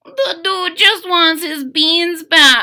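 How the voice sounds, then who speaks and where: Putting on a character voice, a woman speaks at an extremely high pitch. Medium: read story. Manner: Spanish-sprinkled English.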